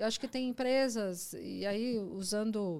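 A woman speaks at a fairly high pitch. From Brazil, Mogi das Cruzes (São Paulo state). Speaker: technology executive. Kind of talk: casual chat.

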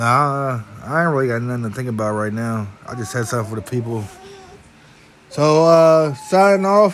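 Over noticeable background noise, a medium-pitched man talks at a moderate pace, leaving long, frequent pauses. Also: lively intonation. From San Francisco Bay Area. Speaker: podcast host. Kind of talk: casual chat.

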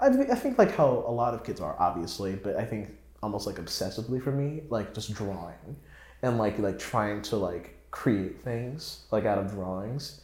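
Somewhat breathy, a man with an American accent speaks with audible room echo around him. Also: medium pitch for a man, ordinary pitch variation, moderate pace. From North Carolina, US. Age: 20s. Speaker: composer and music student. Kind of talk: casual chat.

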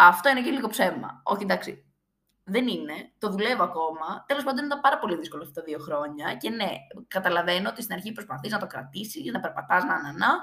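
Very wide pitch swings at a fairly quick pace. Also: woman. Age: 20s. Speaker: podcast host. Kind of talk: casual monologue.

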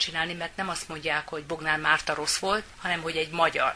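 A woman with a fairly low voice speaks in a flat monotone over noticeable background noise. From Hungary, Győr area. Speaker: doctor. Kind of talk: interview. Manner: halting.

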